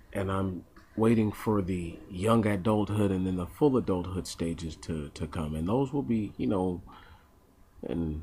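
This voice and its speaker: Soft-spoken and somewhat breathy, a man speaks fairly slowly at a very deep, low pitch with ordinary pitch variation. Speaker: vlogger. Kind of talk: casual monologue. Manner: halting.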